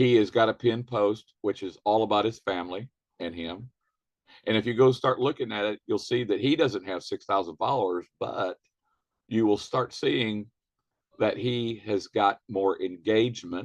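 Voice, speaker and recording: A man with an unremarkable speaking voice, fairly low in pitch, ordinary pitch variation, moderate pace, and a dry, close sound with no echo. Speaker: network marketing trainer. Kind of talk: training webinar.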